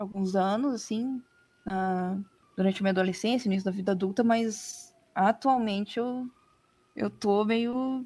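Her tone is dark and mellow. This woman's intonation sounds lively. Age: 20s. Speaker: editor-in-chief. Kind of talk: casual interview chat. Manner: halting.

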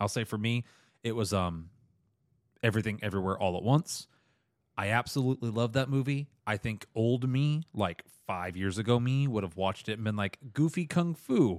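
On a very clean recording with a silent background and a dry, close sound with no echo, a man of medium pitch speaks with lively intonation. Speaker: movie podcast host. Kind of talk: casual chat. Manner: fast.

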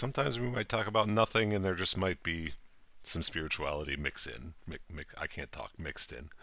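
Using a normal speaking voice, a man talks at a fairly quick pace and a fairly low pitch. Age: 30s. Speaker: podcast co-host. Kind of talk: casual chat.

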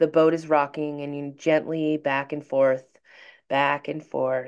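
A woman speaks with a very deep, low pitch. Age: 30s. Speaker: tarot reader and astrology podcaster. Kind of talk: guided meditation. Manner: slow, calm, soothing, reading aloud a scripted visualization; casual, rambling, swearing, chatty.

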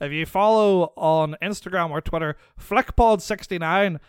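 A man with a Northern Irish accent speaks with ordinary pitch variation in a dry, close sound with no echo. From Northern Ireland. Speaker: podcast guest. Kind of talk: casual chat.

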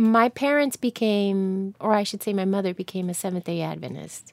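A woman with an American accent has an ordinary speaking voice at a medium pitch, her intonation fairly even. The recording is very clean, with a silent background and a dry, close sound with no echo. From New Jersey. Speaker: actor. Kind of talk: interview.

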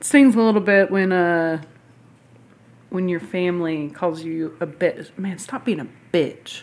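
With a Southern US accent, a woman talks at a fairly slow pace in a fairly low voice, her loudness swinging widely, her pitch varying in an ordinary way, and her speech broken by long, frequent pauses. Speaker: podcast guest. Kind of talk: casual chat.

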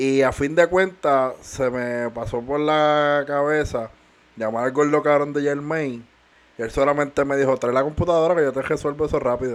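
In a plain, everyday voice, a man with a fairly high pitch keeps a moderate pace and fairly even intonation. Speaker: podcast co-host. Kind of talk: casual chat.

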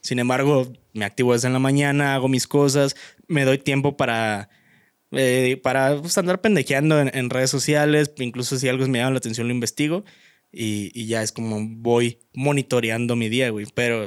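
A man with a Mexican accent, ordinary pitch variation, and a dry, close sound with no echo in a very clean recording against a silent background. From Mexico. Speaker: podcast co-host, law student. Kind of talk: casual chat.

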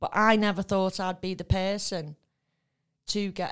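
A woman with a northern English accent speaks at a medium pitch and moderate pace, on a very clean recording with a silent background. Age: 50s. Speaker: recovering addict. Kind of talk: testimony.

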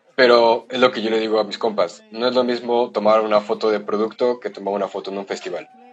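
Over noticeable background noise, a man speaks in a flat monotone at a very fast pace with hardly any pauses. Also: medium pitch for a man. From Mexico, San Luis Potosí. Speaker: photographer. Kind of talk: casual chat.

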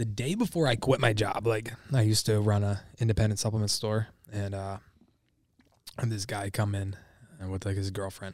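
A man with an American accent at a moderate pace, with long, frequent pauses. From Michigan. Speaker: social media creator, supplement store worker. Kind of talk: casual chat.

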